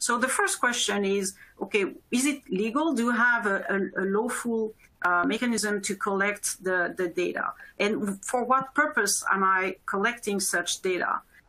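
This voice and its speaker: A woman with a bright, sharp tone and fairly high pitch talks at a moderate pace with very even loudness and ordinary pitch variation. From Europe. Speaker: corporate privacy officer. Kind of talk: webinar panel discussion. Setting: live webinar stream. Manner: halting.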